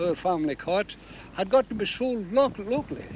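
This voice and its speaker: A man with a Scottish accent speaks at a fairly slow pace, his pitch swinging very widely. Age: 80s+. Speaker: lobster fisherman. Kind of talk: interview answer.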